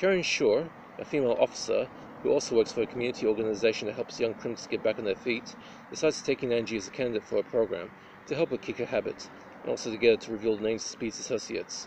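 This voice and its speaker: A man races along at a very fast pace, with light background noise behind him. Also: dry sound with no echo. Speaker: film reviewer. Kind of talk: review commentary. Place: open country. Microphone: phone near.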